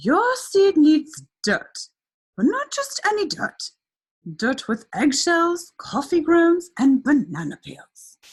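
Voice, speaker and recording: A woman in a put-on character voice at an extremely high pitch, speaking very slowly. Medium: read story.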